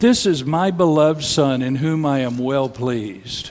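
A man puts on a booming character voice at a medium pitch. He speaks at a moderate pace.

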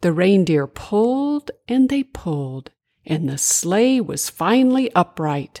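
Quiet background behind an unforced reading voice

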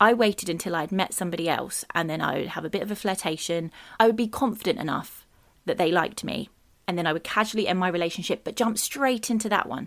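With a British accent, a woman speaks at a very fast pace with ordinary pitch variation. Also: medium pitch for a woman. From UK. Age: 30s. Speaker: podcast host. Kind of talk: personal monologue.

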